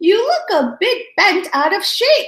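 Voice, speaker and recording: In a put-on character voice, a woman squeaks at an extremely high pitch, her pitch swinging very widely at a fairly slow pace. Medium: read story. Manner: soft, soothing.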